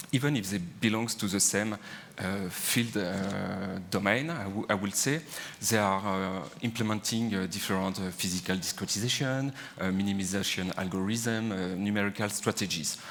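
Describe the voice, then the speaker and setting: In a French accent, a man with a fairly low pitch and ordinary pitch variation speaks at a moderate pace amid audible room echo. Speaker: engineer. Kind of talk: conference talk. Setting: stage with audience. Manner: hesitant, many fillers.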